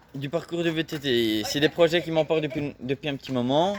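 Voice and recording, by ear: Here a man speaks fast at a fairly high pitch. His pitch varies in an ordinary way.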